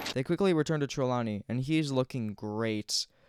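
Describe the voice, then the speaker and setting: Mumbling at a medium pitch, a man is heard on a very clean recording with a silent background. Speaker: gaming youtuber. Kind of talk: game commentary narration. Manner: soft-spoken.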